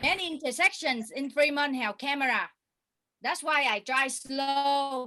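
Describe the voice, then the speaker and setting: A woman with a Vietnamese accent projects a raised, high-pitched voice with a bright, sharp tone at a fairly slow pace. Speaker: stand-up comedian. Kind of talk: stand-up. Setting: video call.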